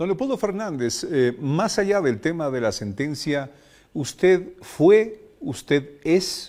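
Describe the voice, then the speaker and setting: A man talks at a very slow pace, his dark, mellow tone swinging very widely in pitch. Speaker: radio host. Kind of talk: interview.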